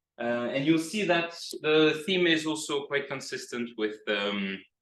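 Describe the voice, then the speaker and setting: With lively intonation and a bright, sharp tone, a man talks at a fairly slow pace, and room echo can be heard. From Greece. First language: Greek. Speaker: PhD researcher. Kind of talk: lecture. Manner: hesitant with many fillers.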